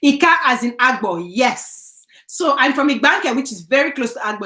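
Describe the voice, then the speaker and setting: A woman with a Nigerian accent uses a raised, projected voice, animated and high-pitched, at a fairly quick pace with ordinary pitch variation. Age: 30s. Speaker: YouTuber. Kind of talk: live stream chat.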